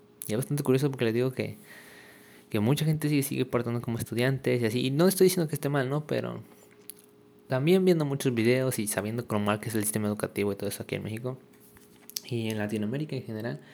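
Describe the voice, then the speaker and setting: The man's delivery is very fast, broken up by long, frequent pauses. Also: medium pitch for a man, ordinary pitch variation. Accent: Mexican. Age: young. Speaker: podcaster. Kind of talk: casual monologue. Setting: at home in kitchen. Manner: halting.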